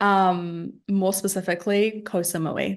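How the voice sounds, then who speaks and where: Over a quiet background, a woman with a New Zealand accent speaks at a medium pitch. Her delivery is fairly slow, in a monotone, flat intonation. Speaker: business owner. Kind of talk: podcast interview.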